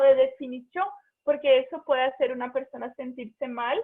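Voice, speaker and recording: The pace stays moderate. A Portuguese accent colors the speech. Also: woman. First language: Portuguese (speaking Spanish). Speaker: physicist, invited speaker. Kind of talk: talk in online seminar. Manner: halting.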